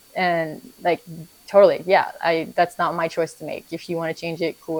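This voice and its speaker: A woman speaks with a Vietnamese accent. Her pitch is fairly low. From Vietnam until age 7, then US. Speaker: stay-at-home mother. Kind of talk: documentary interview. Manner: halting, many repeated words.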